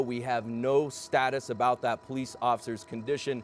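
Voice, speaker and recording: Noticeable background noise sits behind a man at a medium pitch. He talks at a fairly quick pace in a monotone, flat way. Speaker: TV news anchor and reporter. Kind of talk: live TV news field report. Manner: conversational.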